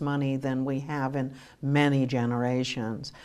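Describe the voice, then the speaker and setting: A woman with an American accent speaks at a very deep, low pitch. Room echo is audible. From United States. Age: 60s. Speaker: credit union financial educator. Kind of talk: TV talk show interview.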